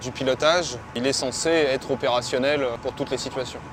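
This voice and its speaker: A man's medium-pitched voice at a fairly quick pace, over noticeable background noise. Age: 40s. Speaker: boat pilot instructor. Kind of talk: workplace interview. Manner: halting.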